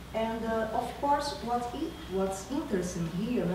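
With a Brazilian accent, a woman speaks at a fairly slow pace amid noticeable background noise and audible room echo. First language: Portuguese. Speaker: university professor and researcher. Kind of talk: academic lecture. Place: hall. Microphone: camera far.

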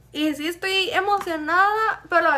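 A woman's raised, projected voice, extremely high in pitch, with ordinary pitch variation. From Chihuahua, Mexico. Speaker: beauty YouTuber. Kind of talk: casual chat.

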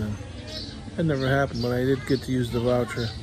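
A man talks in a medium pitch with ordinary pitch variation. Noticeable background noise is present. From United States. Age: 60s. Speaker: vlogger, expat in the Philippines; vlogger. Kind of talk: casual vlog monologue. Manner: rambling, halting with many fillers. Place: garage. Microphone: phone near.

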